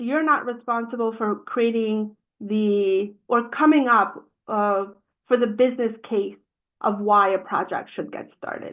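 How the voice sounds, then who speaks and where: In a normal speaking voice, a woman talks fairly slowly at a fairly high pitch with fairly even intonation. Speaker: project management trainer. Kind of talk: webinar presentation. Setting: live-streamed webinar.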